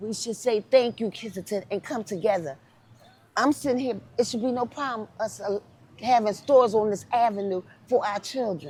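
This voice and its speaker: A somewhat breathy woman speaks with an American accent and fairly high pitch. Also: ordinary pitch variation, moderate pace. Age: 50s. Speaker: interviewee, former addict. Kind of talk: street interview testimony. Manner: emotional, impassioned.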